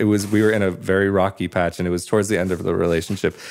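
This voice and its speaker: This man has an American accent and a fairly low pitch. He talks at a very fast pace. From United States. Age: 20s. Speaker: podcaster. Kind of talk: interview.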